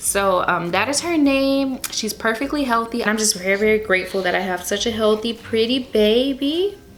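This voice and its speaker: With hardly any pauses, a woman speaks at a fairly high pitch and ordinary pitch variation over noticeable background noise. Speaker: lifestyle vlogger. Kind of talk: personal storytelling vlog. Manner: casual, filler-heavy; fast.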